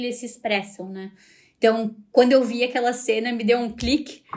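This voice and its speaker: Moderately paced speech from a woman with a high pitch and fairly even intonation, on a very clean recording with a silent background. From Brazil. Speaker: podcast host and fashion master's student. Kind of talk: casual podcast monologue. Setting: recorded in front of university building. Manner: conversational with frequent hesitations.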